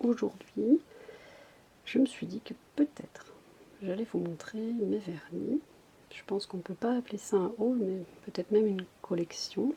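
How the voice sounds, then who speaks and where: Soft-spoken, a woman talks at a fairly slow pace with ordinary pitch variation and long, frequent pauses. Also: big swings in loudness. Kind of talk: casual ASMR collection show-and-tell.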